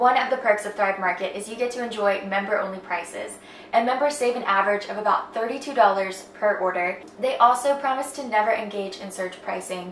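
Audible room echo and light background noise surround a woman who talks at a fairly quick pace, her pitch varying in an ordinary way. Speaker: lifestyle vlogger. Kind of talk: sponsored ad read in vlog. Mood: warm, enthusiastic. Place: home room.

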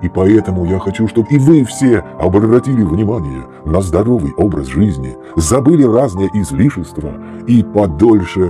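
With music in the background, a man of fairly low pitch speaks at a moderate pace, his voice making very wide pitch swings. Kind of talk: narration over slideshow.

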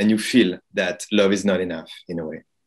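A man's fairly low voice with a French accent, at a moderate pace and with fairly even intonation, over a quiet background. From France. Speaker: film director and playwright. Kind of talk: interview; interview answer. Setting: video call. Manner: hesitant, repeats words. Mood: calm, reflective. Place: home room. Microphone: video call.

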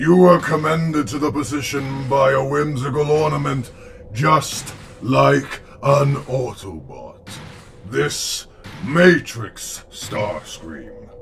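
Over clear background noise, a put-on character voice speaks at a very slow pace. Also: man, medium pitch for a man. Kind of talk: comic dub performance. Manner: mocking, contemptuous, measured.

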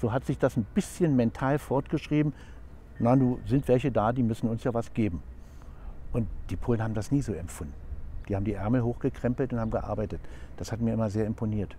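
A man with a dark, mellow tone and vocal fry talks at a fairly quick pace and medium pitch, his intonation lively, with long, frequent pauses and a dry sound with no echo. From East Germany (Frankfurt an der Oder); East Germany. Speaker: member of parliament, former mayor; former mayor. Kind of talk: interview. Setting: outdoors in front of the Reichstag. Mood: warm, moved reflection. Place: open country.

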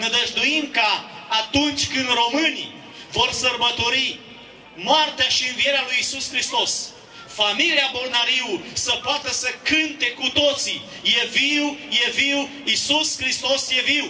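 Very slow, solemn and extremely high-pitched, a man speaks with fairly even intonation and very even loudness, with audible room echo and light background noise. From Romania. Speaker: pastor. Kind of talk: rally speech with prayer. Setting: outdoor protest rally. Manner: fervent, preaching cadence; solemn, exhortative. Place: street. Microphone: handheld.

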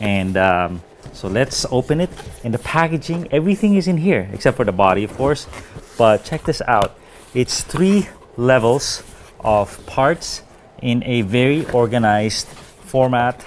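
Over light background noise, a man speaks at a fairly slow pace with very wide pitch swings and long, frequent pauses. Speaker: hobby product reviewer. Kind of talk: casual unboxing review. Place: home room. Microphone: lapel.

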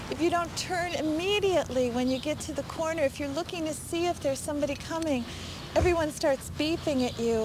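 Her voice is high, with ordinary pitch variation, recorded dry with no echo over noticeable background noise. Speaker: interviewee. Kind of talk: interview answer. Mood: frustrated, emphatic. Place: street.

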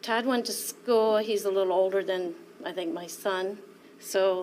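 A fairly slow American accent with ordinary pitch variation, over light background noise. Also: woman. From Iowa (Earlville); Iowa. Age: 60s. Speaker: witness, hospital manager; witness. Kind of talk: witness testimony. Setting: courtroom. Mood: serious, emotional recollection. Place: hall. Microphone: podium.

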